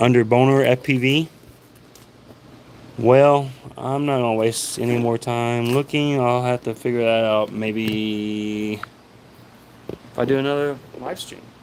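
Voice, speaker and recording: A man with an American accent speaks at a fairly slow pace in a medium pitch, his fairly even intonation broken by long, frequent pauses. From US South, Arkansas. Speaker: FPV drone hobbyist streamer. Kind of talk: casual livestream talk. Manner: halting.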